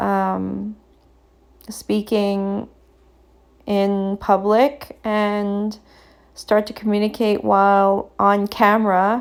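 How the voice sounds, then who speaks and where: Very slowly and in a flat monotone, a woman at medium pitch speaks with long, frequent pauses. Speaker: artist. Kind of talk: voiceover commentary. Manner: halting, many fillers; stutters at times.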